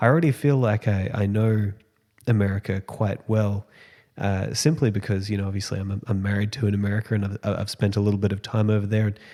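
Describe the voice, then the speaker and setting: In a very clean recording with a silent background, a man with an Australian accent speaks at a very fast pace. His fairly low pitch carries a dark, mellow tone and fairly even intonation. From Australia, Sunshine Coast. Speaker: podcast host. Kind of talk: podcast intro monologue. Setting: empty apartment at home. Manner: hesitant, many fillers.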